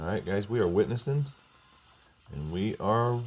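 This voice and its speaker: A man talks with ordinary pitch variation. His pace is moderate. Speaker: crypto mining channel host. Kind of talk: casual screen-recording commentary. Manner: upbeat, enthusiastic.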